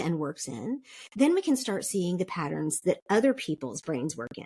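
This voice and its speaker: A somewhat breathy woman with an American accent and very wide pitch swings, in a dry, close sound with no echo. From South Korea (international school, American family). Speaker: podcast guest, DISC consultant. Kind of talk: interview conversation.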